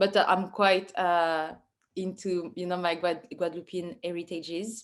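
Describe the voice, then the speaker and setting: A woman talks with a strong French accent at a medium pitch. Her intonation stays monotone and flat. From France, Paris suburbs. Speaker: artist. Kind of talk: Q&A talk about own work. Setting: virtual online event. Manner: halting, many fillers.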